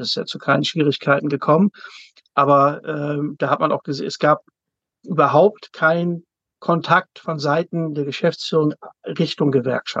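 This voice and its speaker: Pausing long and often, a man talks with fairly even intonation at a fairly high pitch, the sound dry and close with no echo. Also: moderate pace. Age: 50s. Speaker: zookeeper and works council chair. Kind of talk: interview.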